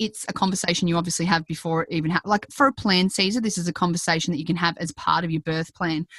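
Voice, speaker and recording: Someone with an Australian accent speaks at a very fast pace in a dry, close sound with no echo. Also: woman. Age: 30s. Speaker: parenting podcast host, former hospital worker. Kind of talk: interview; scripted intro and outro.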